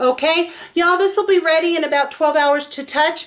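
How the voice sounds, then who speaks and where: An American accent from a woman. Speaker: resin artist and craft video maker. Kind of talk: tutorial. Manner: fast; casual, chatty with fillers.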